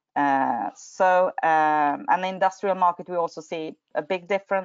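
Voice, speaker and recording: With a Swedish accent, the voice makes very wide pitch swings. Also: woman. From Sweden. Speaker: energy regulator. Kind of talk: webinar presentation. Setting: online webinar. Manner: halting, many fillers.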